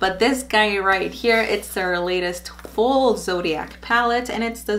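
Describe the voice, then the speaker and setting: A woman is speaking with ordinary pitch variation. There is light background noise. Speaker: beauty vlogger. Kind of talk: casual vlog chat. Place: home room.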